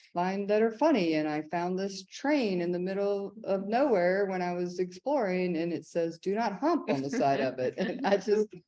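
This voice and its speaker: Speaking at a moderate pace, a woman with an American accent uses a medium pitch, a dark, mellow tone and lively intonation. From US South, small towns in Georgia. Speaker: ceramic artist. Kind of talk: artist talk with slides. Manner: casual, many fillers.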